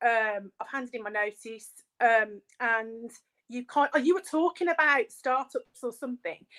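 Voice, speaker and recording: A woman with a Birmingham accent, high-pitched and bright, sharp in tone, at a moderate pace, with ordinary pitch variation and big swings in loudness, on a very clean recording with a silent background and a dry, close sound with no echo. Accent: Brummie. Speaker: small business owner. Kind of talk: casual chat.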